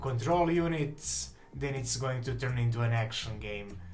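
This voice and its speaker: A man with a Serbian accent, medium pitch and fairly even intonation, with audible room echo and music in the background. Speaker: game developer. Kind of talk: live stream chat. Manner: halting.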